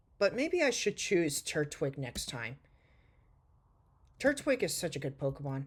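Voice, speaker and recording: A woman with a very deep, low voice and somewhat breathy sound speaks with very wide pitch swings and long, frequent pauses. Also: fairly slow pace. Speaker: gaming YouTuber. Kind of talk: gameplay commentary. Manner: soft-spoken; halting.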